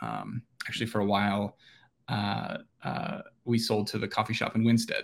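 Speaking at a moderate pace in an Upper Midwest accent, a man leaves long, frequent pauses. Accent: Upper Midwest American. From central Minnesota (rural). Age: 30s. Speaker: real estate developer. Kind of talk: interview.

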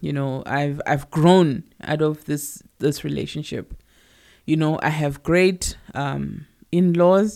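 A very slow pace with a South African accent. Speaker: podcast co-host. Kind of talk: casual chat.

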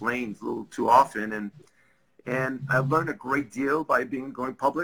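Bright and sharp in tone, a man with a French Canadian accent talks at a fairly quick pace with fairly even intonation. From Quebec. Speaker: business executive. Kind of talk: interview. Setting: video call.

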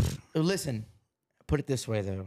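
Moderate-paced speech from a man, dark and mellow in tone and somewhat breathy, on a very clean recording with a silent background. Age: 20s. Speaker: podcast host and musician. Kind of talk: casual chat. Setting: his apartment.

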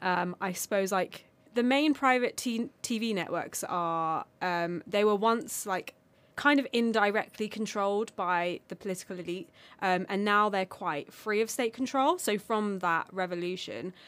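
A woman speaks with a British accent and ordinary pitch variation. The recording is very clean, with a silent background. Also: medium pitch for a woman, fairly slow pace. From United Kingdom. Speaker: podcast guest from the Armenian diaspora. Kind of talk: casual chat.

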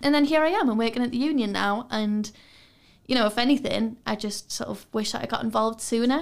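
Speaking in a Geordie accent, a woman has a fairly high pitch. The recording is very clean, with a silent background. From Newcastle, northern England. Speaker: students' union officer. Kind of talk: casual chat. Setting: studio.

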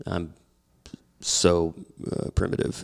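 In a very clean recording with a silent background, a man speaks at a fairly slow pace. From rural Oklahoma. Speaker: musician. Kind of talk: casual interview.

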